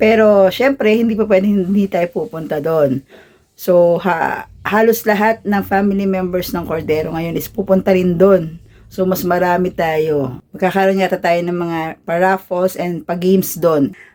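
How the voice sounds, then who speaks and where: Her dark, mellow tone comes at a medium pitch for a woman, with ordinary pitch variation and a fairly slow pace. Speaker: vlogger. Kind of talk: casual vlog narration. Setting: family gathering at home.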